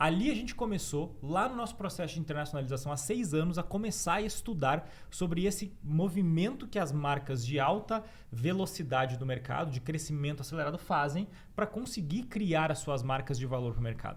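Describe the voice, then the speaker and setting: Speaking with a southern Brazilian accent, a man with fairly high pitch talks at a fairly quick pace with lively intonation, and audible room echo is heard. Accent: gaúcho Brazilian Portuguese. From Rio Grande do Sul, southern Brazil. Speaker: branding consultant, author. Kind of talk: podcast interview.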